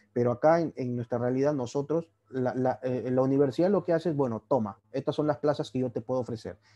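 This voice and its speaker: In a quiet background, a man speaks at a fairly quick pace, his tone dark and mellow and his intonation fairly even. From Peru, Trujillo; Peru. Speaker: orthopedic surgery resident doctor. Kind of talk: lecture. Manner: casual, conversational. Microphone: video call.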